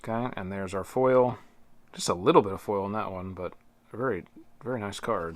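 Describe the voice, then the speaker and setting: On a very clean recording with a silent background, a man with a fairly low voice talks at a fairly quick pace, using ordinary pitch variation and long, frequent pauses. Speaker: board game reviewer. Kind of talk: unboxing commentary. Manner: halting.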